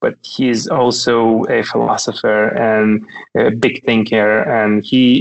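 A man with a Russian accent talks at medium pitch with monotone, flat intonation. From Russia (Kaliningrad region). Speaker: tech company founder. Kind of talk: casual interview chat. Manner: hesitant, repeats words.

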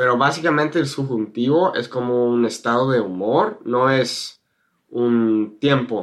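A man with a northern Mexican accent speaks at a fairly slow pace. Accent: learned Spanish with northern Mexican. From California, US. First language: English (speaking Spanish). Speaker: YouTuber and Spanish teacher. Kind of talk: interview.

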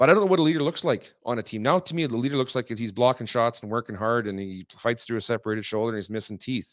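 Talking at a very fast pace with hardly any pauses, a man with a medium pitch uses lively intonation and big swings in loudness. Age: 40s. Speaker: former hockey goalie. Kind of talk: casual chat. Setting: studio.

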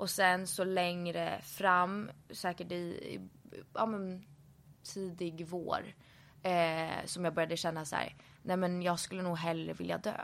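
A woman speaks at a fairly slow pace. Her intonation is monotone and flat, broken by long, frequent pauses. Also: fairly low pitch for a woman. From Stockholm, Sweden. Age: 20s. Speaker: influencer. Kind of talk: interview.

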